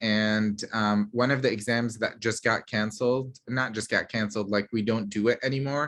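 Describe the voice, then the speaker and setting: With a slight Middle Eastern accent, a man speaks at a medium pitch in a bright, sharp tone. His intonation is fairly even, and the background is quiet. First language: Arabic. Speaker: pediatrician. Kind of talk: Q&A talk.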